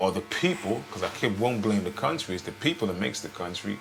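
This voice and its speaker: A man speaks with an American accent in a fairly low pitch. Noticeable background noise runs behind him. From United States. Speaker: homeless man. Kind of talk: interview. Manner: halting.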